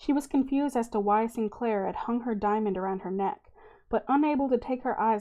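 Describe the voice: Here is plain reading aloud with ordinary pitch variation.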